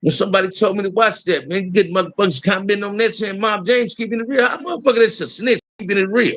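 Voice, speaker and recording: This man talks at a very fast pace in a high, animated voice. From Los Angeles, US. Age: 60s. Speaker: YouTube livestream host. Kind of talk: casual livestream rant.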